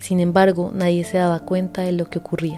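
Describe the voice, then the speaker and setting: A woman's fairly low voice at a moderate pace, with music in the background. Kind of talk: nonfiction audiobook reading.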